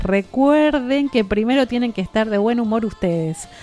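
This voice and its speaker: Over music in the background, a woman speaks in an animated tone at a moderate pace, her fairly high pitch showing ordinary variation. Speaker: radio host. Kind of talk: radio chat show. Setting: radio studio.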